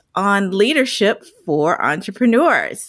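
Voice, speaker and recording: Her pitch swings very widely. The woman speaks at a very slow pace. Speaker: podcast host and leadership consultant. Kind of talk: interview conversation.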